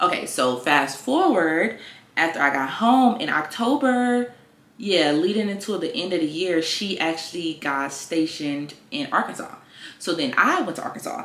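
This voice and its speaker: Upbeat and at a moderate pace, a woman with an American accent speaks in a fairly low pitch with very wide pitch swings, over noticeable background noise. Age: 20s. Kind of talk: casual talk to camera. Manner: chatty, upbeat.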